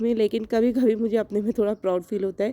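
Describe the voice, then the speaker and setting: A woman's fairly high voice, dark and mellow in tone, with fairly even intonation and a dry, close sound free of echo. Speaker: lifestyle vlogger. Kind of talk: casual vlog talk.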